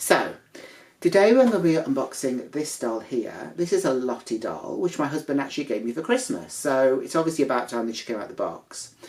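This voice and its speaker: At a fairly quick pace, a woman talks with a very deep, low pitch and very wide pitch swings. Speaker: doll collector vlogger. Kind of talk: unboxing vlog. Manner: casual, hesitant with fillers.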